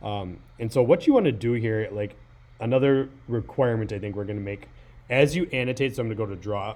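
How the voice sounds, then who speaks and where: A man speaks at a fairly quick pace with medium pitch. His pitch variation is ordinary. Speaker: high school teacher. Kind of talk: tutorial. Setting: screen recording on a laptop. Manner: fast; hesitant, many fillers.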